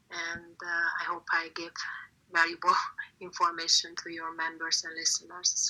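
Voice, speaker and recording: At a moderate pace, a woman with a Hungarian accent speaks fairly low in a monotone, flat intonation, her loudness swinging widely. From Hungary. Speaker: artist and visual content expert. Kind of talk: interview. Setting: online audio room. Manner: hesitant, many fillers.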